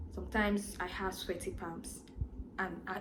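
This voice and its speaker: A woman's voice with audible echo from the room. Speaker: vlogger. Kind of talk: personal vlog monologue. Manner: fast.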